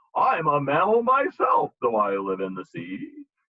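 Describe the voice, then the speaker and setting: Using a put-on character voice, a man speaks at a moderate pace and a fairly high pitch, with big swings in loudness. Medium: read story.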